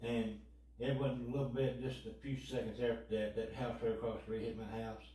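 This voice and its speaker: With a Kentucky accent, a man speaks at a fairly quick pace amid noticeable background noise and audible room echo. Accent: Kentucky twang. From western Kentucky. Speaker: tornado survivor. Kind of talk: interview testimony.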